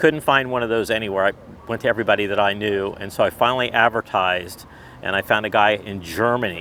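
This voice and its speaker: Fairly quick, medium-pitched male speech with clearly audible noise behind it. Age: 60s. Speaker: car club member, Porsche owner. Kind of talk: casual interview. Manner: halting, many repeats.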